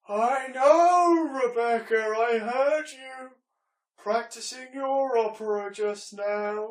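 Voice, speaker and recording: An extremely high put-on character voice from a man, at a very slow pace. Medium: stage play. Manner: wistful, theatrical.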